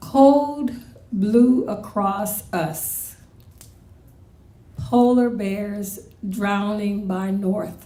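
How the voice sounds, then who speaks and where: Very slow speech from a woman with ordinary pitch variation, long, frequent pauses and audible room echo. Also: medium pitch for a woman. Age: 60s. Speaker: poet. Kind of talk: poetry reading.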